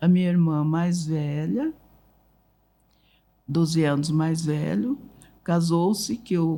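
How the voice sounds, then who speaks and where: A woman with a dark, mellow tone and a fairly low pitch speaks at a very slow pace with ordinary pitch variation and long, frequent pauses. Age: 80s+. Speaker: writer and family memory keeper. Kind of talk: interview storytelling.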